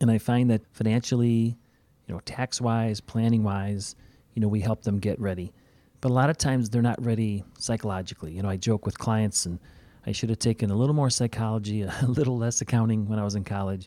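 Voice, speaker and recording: Using a normal speaking voice, a man with an American accent and medium pitch speaks at a fairly quick pace in a dry, close sound with no echo. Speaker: financial advisor and podcast host. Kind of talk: casual interview conversation.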